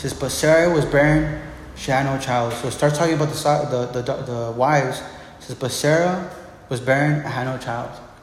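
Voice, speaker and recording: Noticeable background noise and audible room echo surround a man speaking at medium pitch with fairly even intonation. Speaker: pastor. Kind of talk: sermon. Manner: halting, many repeated words.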